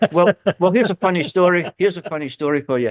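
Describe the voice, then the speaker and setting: The sound is dry and close, with no echo. A man with a Scottish accent talks at a moderate pace. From Scotland, South Lanarkshire. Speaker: football guest. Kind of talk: casual interview chat.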